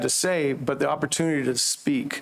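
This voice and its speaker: A man speaks in a normal speaking voice, pitched fairly high. His pace is moderate. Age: 60s. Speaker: campus minister. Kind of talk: public comment.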